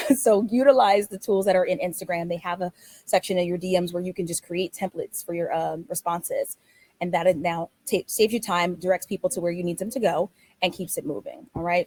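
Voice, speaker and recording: A woman's medium-pitched voice at a fairly quick pace, with ordinary pitch variation and a dry, close sound free of echo. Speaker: travel business owner. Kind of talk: webinar presentation. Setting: online webinar. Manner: fast.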